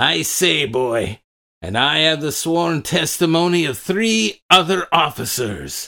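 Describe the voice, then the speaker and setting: A man does a put-on character voice, raspy and fairly high, with lively intonation at a fairly slow pace. The recording is very clean with a silent background. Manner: boastful, menacing.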